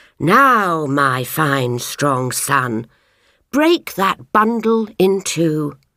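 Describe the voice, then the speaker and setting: A woman's put-on character voice, very deep and low, at a very slow pace, with very wide pitch swings and very even loudness, on a very clean recording with a silent background. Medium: read story. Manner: firm, authoritative.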